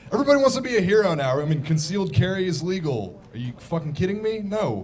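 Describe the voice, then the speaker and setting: Over noticeable background noise and audible room echo, a man speaks very fast at a high pitch with very wide pitch swings. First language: Farsi. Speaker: stand-up comedian. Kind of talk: stand-up. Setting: stage with audience.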